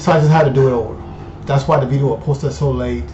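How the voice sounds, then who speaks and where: Audible room echo and noticeable background noise are present. Through them, a man talks. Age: 50s. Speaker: finance YouTuber. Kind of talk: casual vlog monologue. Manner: animated.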